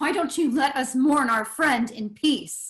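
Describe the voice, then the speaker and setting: A woman puts on a character voice, growling at a high pitch. She speaks fairly slowly, with ordinary pitch variation. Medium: stage play.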